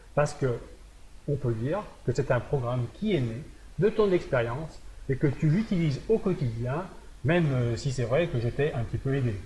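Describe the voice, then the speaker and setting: The tone is dark, mellow and somewhat breathy. The pace is moderate, broken by long, frequent pauses. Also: man, fairly high pitch for a man. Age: 60s. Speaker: fitness coach. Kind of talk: presentation video.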